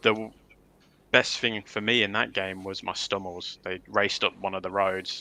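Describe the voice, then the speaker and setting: Speaking with a Leicester accent, a man has very deep, low pitch and a bright, sharp tone. His intonation is monotone and flat, and the recording is very clean with a silent background. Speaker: wargaming tournament organiser. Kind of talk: casual livestream chat.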